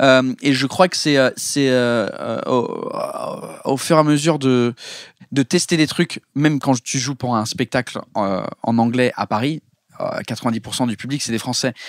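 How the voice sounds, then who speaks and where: In a very clean recording with a silent background and a dry, close sound with no echo, a man speaks fairly slowly at medium pitch with ordinary pitch variation. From England. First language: English (speaking French). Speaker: comedian. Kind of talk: casual chat. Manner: halting.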